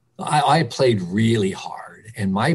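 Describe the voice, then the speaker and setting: A man with an American accent speaks in a somewhat breathy voice with very wide pitch swings. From Philadelphia, Kensington. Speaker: early childhood center director. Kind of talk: interview.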